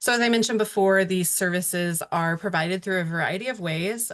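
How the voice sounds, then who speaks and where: Against a quiet background, a woman uses an ordinary speaking voice at a medium pitch with ordinary pitch variation and a fairly quick pace. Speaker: webinar presenter on early childhood. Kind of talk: webinar presentation. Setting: online webinar.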